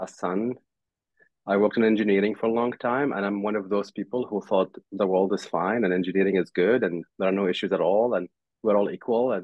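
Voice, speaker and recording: Delivery moves along fairly quickly. The tone holds fairly even throughout. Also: man. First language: not English. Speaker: tech company CEO. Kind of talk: panel discussion.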